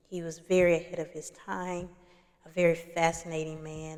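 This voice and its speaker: Soft-spoken and at a moderate pace, a woman talks at a fairly low pitch. Her intonation is monotone and flat. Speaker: doula and spiritual content creator. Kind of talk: casual talk to camera.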